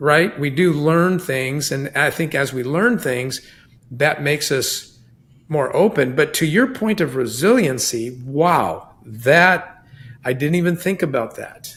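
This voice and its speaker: This man's voice is an unremarkable speaking voice, pitched fairly high. He talks at a fairly slow pace with lively intonation. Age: 60s. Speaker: podcast host. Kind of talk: casual chat.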